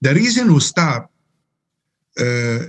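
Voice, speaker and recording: A man with an Arabic accent speaks at a moderate pace. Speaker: Quran translator. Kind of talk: interview. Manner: halting.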